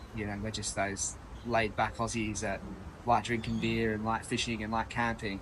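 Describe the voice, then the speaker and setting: With an Australian accent, a man talks at a moderate pace and medium pitch, his intonation monotone and flat. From Australia (Perth). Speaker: chef. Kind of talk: interview. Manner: casual, with fillers.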